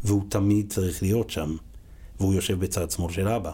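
The tone is dark and mellow, with a somewhat breathy quality. The recording is very clean, with a silent background. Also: man. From Israel, religious Zionist family. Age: 40s. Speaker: school principal. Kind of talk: casual interview.

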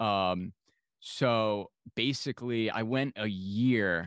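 A man with a normal speaking voice talks at a fairly low pitch. The sound is dry and close with no echo, over a quiet background. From New York. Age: 20s.

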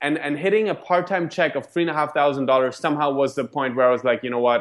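A man with a German accent talks at a very fast pace with ordinary pitch variation. The background is quiet. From Germany. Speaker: network marketing leader. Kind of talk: interview. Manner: halting.

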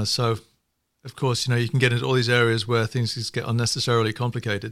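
Delivered at a very fast pace, the speech comes in a northern English accent with monotone, flat intonation. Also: man. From northern England. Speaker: economist. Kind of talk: casual chat.

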